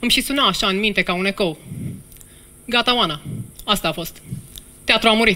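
A woman talks in a bright, sharp, animated tone at a fairly quick pace with ordinary pitch variation. Long pauses come often. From Romania. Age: 40s. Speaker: actress and storyteller. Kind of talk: storytelling monologue on stage, comic then moving and confessional. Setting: stage with audience at a theatre festival. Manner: animated, self-ironic, humorous, with emotional, heartfelt pauses. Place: stage. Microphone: headset.

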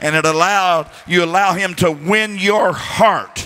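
This man's voice sits at a high pitch with ordinary pitch variation. He speaks at a fairly slow pace. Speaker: preacher. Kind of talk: sermon. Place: church. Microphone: handheld.

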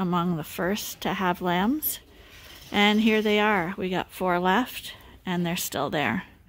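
Ordinary pitch variation at a very slow pace. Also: woman. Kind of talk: casual farm vlog explanation. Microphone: phone near.

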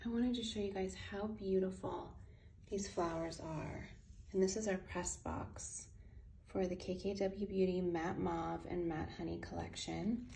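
Soft-spoken and at a fairly slow pace, a woman talks over light background noise. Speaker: beauty brand founder. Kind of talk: casual product unboxing to camera. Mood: delighted, admiring. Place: home room. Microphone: phone near.

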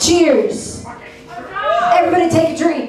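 Light background noise and audible room echo accompany a woman's voice. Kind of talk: stage banter. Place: bar.

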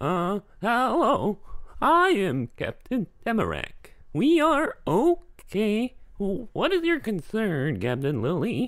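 A put-on character voice, fairly high in pitch, at a very slow pace with very wide pitch swings. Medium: comedy sketch. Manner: formal, curt, suspicious.

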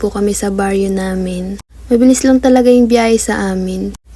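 At a moderate pace, a woman speaks in a somewhat breathy voice with a dark, mellow tone, medium pitch and monotone, flat intonation. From Philippines, Tarlac. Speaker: vlogger. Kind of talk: casual vlog narration.

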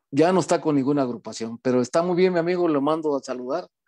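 A man's fairly high, dark, mellow voice at a fairly quick pace with ordinary pitch variation against a quiet background. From Mexico, Chiapas. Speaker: band director and musician; guest. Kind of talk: interview. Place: home room.

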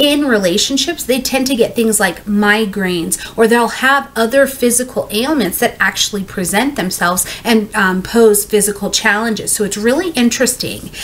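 A woman talks at a moderate pace with hardly any pauses. Her pitch varies in an ordinary way. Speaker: astrology reader. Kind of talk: casual explainer talk. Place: home room.

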